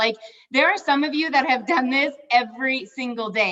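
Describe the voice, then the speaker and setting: A woman's voice with ordinary pitch variation. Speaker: network marketing leader. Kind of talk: motivational live stream talk. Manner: fast; animated.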